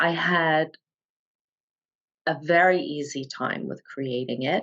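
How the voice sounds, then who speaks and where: A woman speaks at a very slow pace with a very deep, low pitch. Her pitch varies in an ordinary way. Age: 60s. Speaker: guest, former coaching client. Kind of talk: interview conversation. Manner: halting, many fillers.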